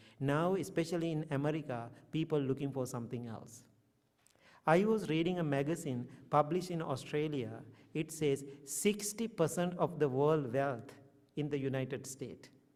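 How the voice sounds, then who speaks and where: A man speaks at a moderate pace with a Sri Lankan accent. His pitch is fairly high, with ordinary pitch variation. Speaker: Buddhist monk. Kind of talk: dharma talk.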